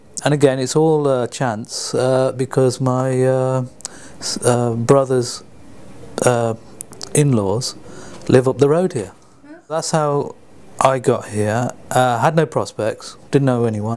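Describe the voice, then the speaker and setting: A man with a London accent at a very slow pace, fairly even intonation, long, frequent pauses and noticeable background noise. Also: medium pitch for a man. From England, London. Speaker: community volunteer. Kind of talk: interview. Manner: halting.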